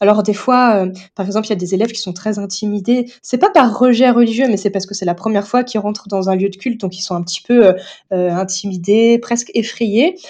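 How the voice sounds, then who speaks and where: Her fairly high, dark and mellow voice moves at a fairly quick pace as this woman keeps a fairly even intonation. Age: 30s. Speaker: theologian and teacher. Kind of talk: interview.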